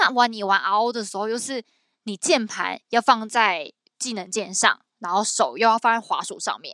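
A woman speaks in a fairly high, bright and sharp voice with an animated tone, her loudness swinging widely. The sound is dry and close with no echo, on a very clean recording over a silent background. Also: ordinary pitch variation, moderate pace. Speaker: podcast co-host. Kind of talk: casual chat.

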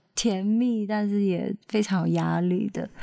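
With a dark, mellow tone and medium pitch, a woman speaks at a fairly slow pace in a dry, close sound with no echo. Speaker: singer-songwriter and backing vocalist. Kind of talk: interview.

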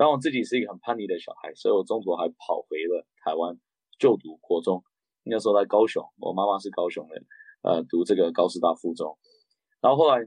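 Recorded with a dry, close sound and no echo, a man talks at a fairly quick pace with big swings in loudness. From raised abroad: Japan, Beijing, Canada. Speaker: political candidate, former interpreter. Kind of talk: interview.

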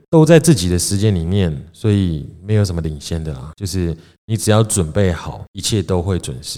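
With a Taiwanese accent, a man talks at a moderate pace in a very deep, low voice with a dark, mellow tone, recorded very cleanly against a silent background. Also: ordinary pitch variation. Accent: Taiwanese Mandarin. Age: 30s. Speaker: podcast host, small business owner. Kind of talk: casual chat. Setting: home-built studio.

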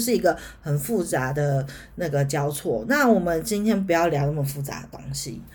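Her pitch swinging very widely, a woman speaks at a moderate pace with audible room echo. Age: 40s. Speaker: podcast host, astrology. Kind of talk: solo educational talk. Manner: hesitant, many filler sounds.

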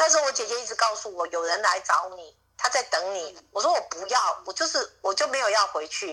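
Words come out at a fairly quick clip, with hardly any pauses between them. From Taiwan, Miaoli. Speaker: interviewee claiming secret-society heir. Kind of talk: phone interview. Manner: halting, repetitive.

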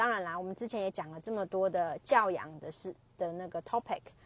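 A woman speaks with a strong Chinese accent, the sound dry and close with no echo. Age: 30s. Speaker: podcaster. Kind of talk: casual monologue. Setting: commuting to work. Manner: halting, many fillers.

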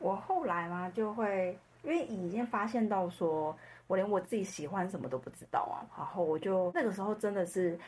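A woman talks at a moderate pace, with medium pitch and ordinary pitch variation. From Taiwan. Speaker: customer success professional. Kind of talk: personal story interview. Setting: remote recording.

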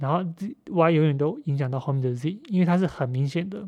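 A man's dark, mellow tone at a fairly quick pace, over a quiet background. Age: 30s. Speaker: podcast host. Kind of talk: solo monologue on a book. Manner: halting, many fillers and repetitions.

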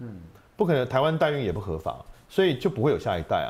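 A man speaks here. His pitch swings very widely. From Taiwan, second-generation mainlander family. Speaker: voice actor and debate association head. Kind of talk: casual interview chat.

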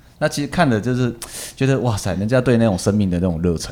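The pace is very fast. A man speaks at a medium pitch with ordinary pitch variation. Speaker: ballroom and Latin dance teacher. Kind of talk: casual interview chat.

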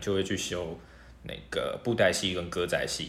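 A man speaks with audible room echo. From Taiwan, half Hokkien half mainlander family. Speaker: university student. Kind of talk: casual interview.

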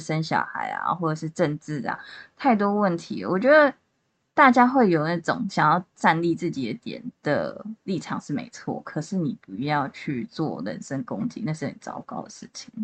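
This woman talks at a moderate pace in a fairly low voice with vocal fry. Her pitch swings very widely, and her loudness rises and falls sharply. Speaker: amateur podcast co-host. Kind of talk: casual chat.

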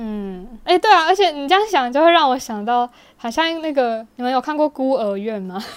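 This voice moves at a fairly quick pace, with big swings in loudness and very wide pitch swings. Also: woman, high pitch for a woman. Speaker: podcast co-host. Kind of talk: casual chat.

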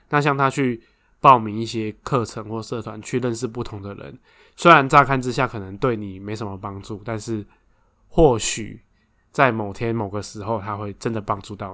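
A man's medium-pitched voice with a bright, sharp tone, big swings in loudness, ordinary pitch variation, and a very clean recording over a silent background. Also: moderate pace. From Taiwan, Taoyuan. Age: 30s. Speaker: podcast co-host, runs family factory. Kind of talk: casual chat.

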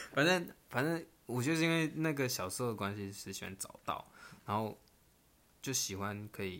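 The man has an unremarkable speaking voice. He talks at a moderate pace. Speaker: podcast co-host. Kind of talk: casual chat.

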